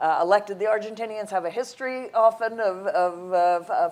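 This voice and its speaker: Here is a woman with an unremarkable speaking voice and an American accent. She talks at a moderate pace with ordinary pitch variation. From United States. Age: 60s. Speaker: think tank head. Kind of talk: conference interview.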